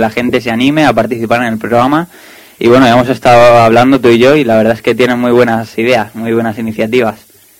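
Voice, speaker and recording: This man speaks very fast. His delivery is monotone and flat. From Spain. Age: young. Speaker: radio host. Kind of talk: casual chat. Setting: studio.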